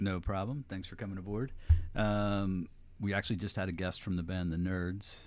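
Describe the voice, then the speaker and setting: A man's very deep, low-pitched voice. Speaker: podcast host. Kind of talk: podcast interview. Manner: casual, relaxed.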